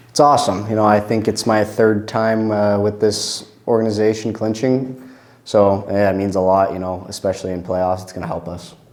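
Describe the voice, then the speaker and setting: Against noticeable background noise, a man talks at a moderate pace in a fairly low pitch, his intonation fairly even while his loudness swings widely. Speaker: junior hockey player. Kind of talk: postgame interview.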